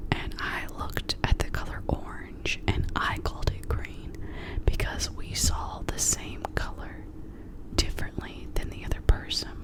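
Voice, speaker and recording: The whispering is accompanied by noticeable background noise. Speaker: ASMR creator. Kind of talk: ASMR whispered chat to camera. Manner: whispered.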